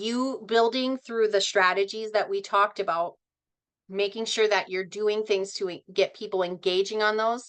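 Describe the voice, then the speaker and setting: Fairly even intonation marks a normal speaking voice heard against a quiet background. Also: woman. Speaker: social media influencer and trainer. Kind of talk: online training session.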